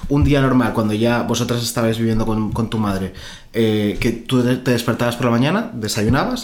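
There is noticeable background noise behind this man. He speaks at a medium pitch with very even loudness. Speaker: podcast host interviewing his grandmother. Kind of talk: casual chat.

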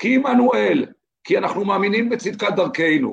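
A man at a moderate pace. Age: 50s. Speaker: lawyer. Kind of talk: casual interview conversation.

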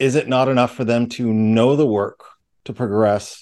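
With a quiet background, a man speaks fairly slowly at a medium pitch and with fairly even intonation. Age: 40s. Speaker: podcast co-host, Freemason. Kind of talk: casual chat.

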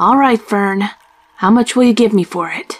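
Here a woman uses a put-on character voice at a fairly high pitch. Her pace is moderate, with ordinary pitch variation. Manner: rude, impatient.

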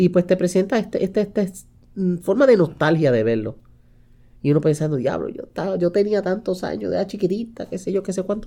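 Speaking at a fairly quick pace, a woman uses a dark, mellow tone at medium pitch, with lively intonation and vocal fry. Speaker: podcast co-host. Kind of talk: casual chat.

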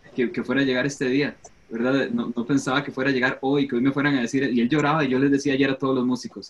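Noticeable background noise fills the recording. A man speaks fairly quickly through it. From Costa Rica. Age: 30s. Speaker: worship pastor and musician. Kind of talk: casual panel discussion.

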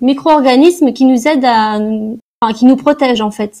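The tone is dark and mellow, delivered at a moderate pace with ordinary pitch variation. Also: woman. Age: 20s. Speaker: naturopath. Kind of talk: interview.

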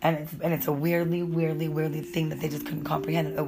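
A woman with an animated tone and a very deep, low pitch, over noticeable background noise. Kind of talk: casual chat. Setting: outdoors.

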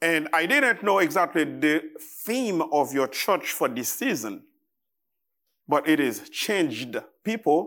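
In a very clean recording with a silent background, a man with a Haitian accent speaks very slowly in a bright, sharp tone at a fairly high pitch, with very wide pitch swings. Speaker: visiting preacher. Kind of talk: sermon. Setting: church. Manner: halting, with frequent fillers.

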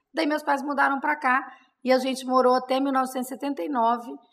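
A woman's high-pitched voice. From interior of São Paulo, Brazil. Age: 50s. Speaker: city councilwoman, politician. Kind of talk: interview, casual chat.

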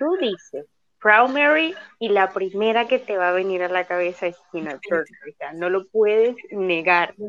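Lively intonation in a woman's voice, pitched in the medium range. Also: fairly slow pace. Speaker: guest, film enthusiast. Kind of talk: casual chat.

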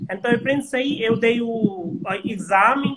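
Someone speaks at a fairly slow pace with an Indian accent. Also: man. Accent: Indian-accented Portuguese, non-native. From India, Himachal. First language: Hindi / local Himachal language (speaking Portuguese). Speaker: translator. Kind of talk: interview on a livestream.

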